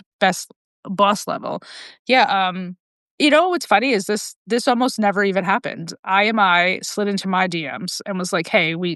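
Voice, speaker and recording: In a New York accent, a woman speaks at a medium pitch with ordinary variation, the sound dry and close with no echo and a quiet background. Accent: New York American. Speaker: podcast host. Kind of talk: casual interview chat. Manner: fast.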